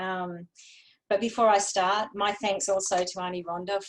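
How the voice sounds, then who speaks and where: A woman with a medium pitch speaks at a moderate pace, her intonation fairly even. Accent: Australian. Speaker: women's health advocate. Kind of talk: prepared speech. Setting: webinar.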